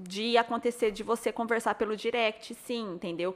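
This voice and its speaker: With ordinary pitch variation, this comes across as a plain, everyday voice. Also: woman. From São Paulo state interior, Brazil. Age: 30s. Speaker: blogger and influencer. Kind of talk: casual chat.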